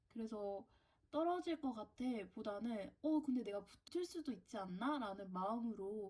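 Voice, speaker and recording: This woman has a fairly high pitch and a dark, mellow tone. Her intonation is lively, and her pace is moderate. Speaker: university student vlogger. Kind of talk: casual Q&A vlog.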